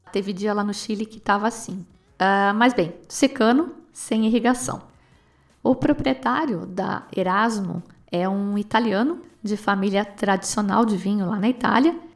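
Lively intonation in a Brazilian accent. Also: woman, medium pitch for a woman, fairly slow pace. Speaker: wine podcast host. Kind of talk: casual solo talk about wine.

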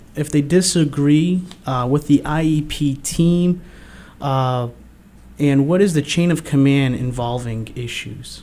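A man talks at a very slow pace in a fairly high pitch. His pitch varies in an ordinary way. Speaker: radio host. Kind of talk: radio interview. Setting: studio. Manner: halting, many fillers.

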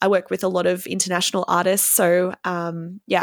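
With an Australian accent, a woman sounds enthusiastic at a medium pitch. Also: dry, close sound with no echo. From Victoria, Australia. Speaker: music marketing consultant and band singer. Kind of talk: casual interview chat.

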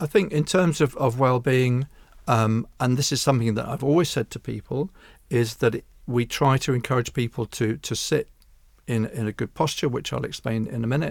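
On a very clean recording with a silent background, a man with a southern English accent talks at a moderate pace, medium pitch and ordinary pitch variation. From England, Hertfordshire. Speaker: chiropractor. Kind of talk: interview.

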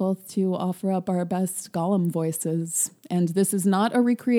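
Fairly even intonation from a natural voice reading aloud

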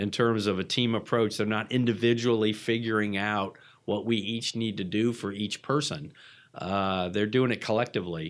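An American accent from a man with a fairly low pitch, fairly even intonation, and a moderate pace. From Atlanta, US South. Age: 50s. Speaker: recovering alcoholic, hotel franchising executive. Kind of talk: interview testimony. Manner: halting, many fillers.

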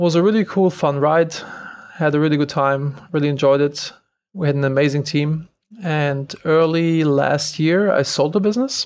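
With a German accent, this man talks at a fairly high pitch, his intonation fairly even and his loudness very even. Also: moderate pace. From Germany. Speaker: entrepreneur. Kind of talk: interview.

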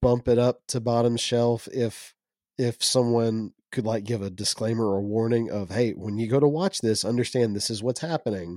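On a very clean recording with a silent background and a dry, close sound with no echo, a man speaks at medium pitch and a moderate pace in a dark, mellow tone with ordinary pitch variation. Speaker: podcast co-host. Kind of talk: casual chat.

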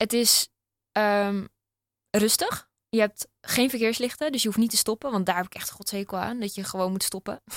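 The speech moves at a moderate pace in a normal speaking voice with ordinary pitch variation. Loudness swings widely, and the sound is dry and close with no echo. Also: woman, fairly high pitch for a woman. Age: 20s. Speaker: open water swimmer and runner. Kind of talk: casual chat. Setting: studio.

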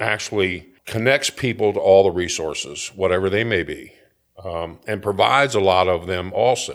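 A man talks at a fairly quick pace in a normal speaking voice, with an American accent, fairly low pitch and ordinary pitch variation. The recording is very clean, with a silent background. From Florida (Delray Beach). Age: 50s. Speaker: recovery and reentry program director. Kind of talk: testimony.

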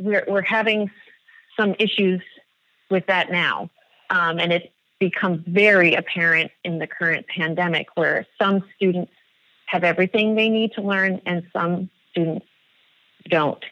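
With a bright, sharp tone, a woman talks at a fairly slow pace with long, frequent pauses and fairly even intonation, the sound dry and close with no echo. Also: medium pitch for a woman. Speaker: elementary school teacher. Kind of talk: casual interview conversation. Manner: halting, many fillers; clear and strong.

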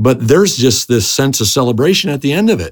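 A man races along at a very fast pace, his pitch swinging very widely. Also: very clean recording, silent background. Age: 50s. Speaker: pastor. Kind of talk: interview.

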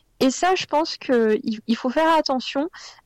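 This woman's voice sits high, with ordinary variation in pitch. The sound is dry and close, without echo. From France, Lyon. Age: 30s. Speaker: blogger. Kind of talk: interview.

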